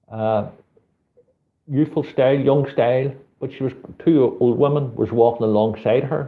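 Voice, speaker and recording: A somewhat breathy man with a Belfast accent speaks at a medium pitch with fairly even intonation. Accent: Belfast accent, sometimes taken for Liverpool. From Northern Ireland, Belfast. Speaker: street photographer and channel host. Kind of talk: live stream chat reading viewer comments. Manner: casual, chatty.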